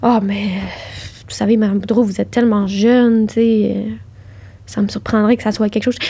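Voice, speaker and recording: Noticeable background noise sits under a woman's fairly high voice. She speaks at a moderate pace in a monotone, flat way. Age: 20s. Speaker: cancer patient. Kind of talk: personal testimony in casual interview.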